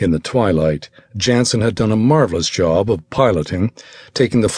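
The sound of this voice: Lively intonation colors this unforced reading voice.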